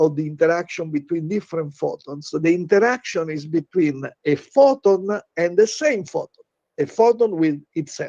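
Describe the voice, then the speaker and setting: The recording has a dry, close sound with no echo. A man speaks in a high pitch. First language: not English. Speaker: physicist lecturer. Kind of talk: lecture. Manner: halting, many filler uh sounds.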